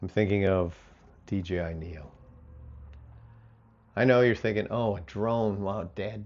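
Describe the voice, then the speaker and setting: Fairly slow and fairly low, a man speaks with fairly even intonation. Long pauses come often. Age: 60s. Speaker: hobby drone pilot, grandfather. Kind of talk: casual talk to camera, product recommendation.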